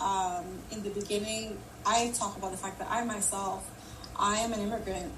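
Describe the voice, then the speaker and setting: A woman at medium pitch talks at a moderate pace in a flat monotone. Noticeable background noise and audible room echo are present. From Jamaica. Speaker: leadership coach and keynote speaker. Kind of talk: live audio room discussion. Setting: LinkedIn live audio room.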